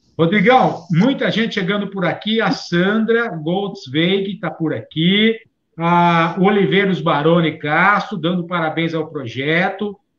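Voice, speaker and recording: Speaking very slowly, a man with a high pitch talks in an interior São Paulo accent. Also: ordinary pitch variation. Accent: caipira accent of interior São Paulo. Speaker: live show co-host. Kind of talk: live stream chat.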